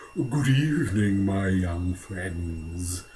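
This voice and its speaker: A man's put-on character voice, very deep and low in pitch, over clear background noise. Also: lively intonation. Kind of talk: formal. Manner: polite, smooth, sinister.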